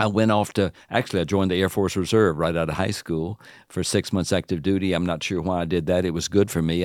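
On a very clean recording with a silent background, a man with a Southern US accent talks very fast at a very deep, low pitch with fairly even intonation. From US South, Alabama. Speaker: author and seminary professor. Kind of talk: interview about prayer, conversational teaching. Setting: studio.

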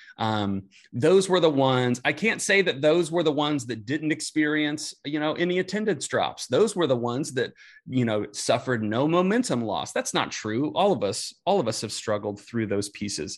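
A man's fairly high voice with an American accent, very wide pitch swings and a moderate pace against a quiet background. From Indianapolis, US Midwest. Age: 30s. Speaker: youth ministry specialist, former youth pastor. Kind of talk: casual interview chat.

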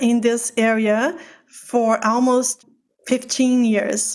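A woman with a Portuguese accent speaks in a high pitch. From Brazil, Sao Paulo. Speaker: physician and pain researcher. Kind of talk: interview. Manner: loud.

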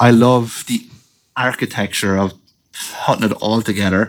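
This man has an Irish accent. He talks at a moderate pace with monotone, flat intonation. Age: 30s. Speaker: professional drift driver. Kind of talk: casual chat.

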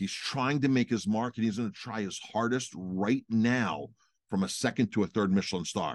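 A man speaks at a moderate pace in a normal speaking voice, medium in pitch with ordinary pitch variation, over a quiet background. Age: 40s. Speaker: restaurant owner and podcast co-host. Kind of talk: casual chat.

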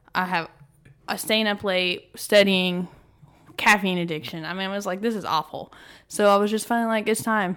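Her medium-pitched voice moves at a moderate pace with fairly even intonation and long, frequent pauses, captured on a very clean recording against a silent background. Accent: Texan. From northeast Texas. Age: 20s. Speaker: paralegal, gym member. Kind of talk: interview. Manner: casual, filler-heavy.

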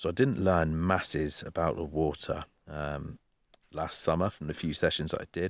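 The recording is very clean, with a silent background. A man with an English accent and a very deep, low pitch speaks at a moderate pace with ordinary pitch variation. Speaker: carp fishing podcast co-host. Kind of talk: casual chat. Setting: outdoors by a lake at night. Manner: loud.

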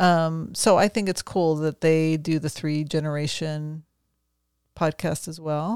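A woman's very deep, low pitch at a fairly slow pace, with a dry, close sound with no echo on a very clean recording with a silent background. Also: fairly even intonation. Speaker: ordained minister and podcast co-host. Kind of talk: casual chat.

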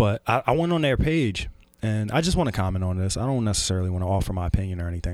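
The pace is very fast. This man's tone stays animated throughout. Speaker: podcast host. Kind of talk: casual banter. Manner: animated, profane.

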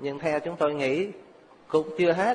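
Clear background noise behind a man's voice, pitch varying in an ordinary way. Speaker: Buddhist monk. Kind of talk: closing remarks. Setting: stage with audience.

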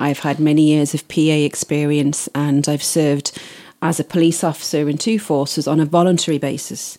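A woman with a very deep, low pitch and a dark, mellow tone at a moderate pace, her intonation monotone and flat, on a very clean recording with a silent background. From Isle of Man. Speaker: wedding planner. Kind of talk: interview.

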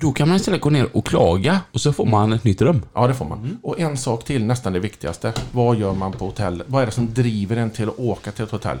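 A medium-pitched man at a fairly quick pace, lively in intonation, with hardly any pauses. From Skaraborg, Sweden (Lidköping). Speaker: crane truck driver. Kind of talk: casual chat.

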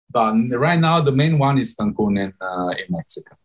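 A man speaks with an Italian accent at a medium pitch. His pitch swings very widely, and his voice is somewhat breathy. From Italy. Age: 30s. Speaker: startup CEO. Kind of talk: interview. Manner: halting, many fillers.

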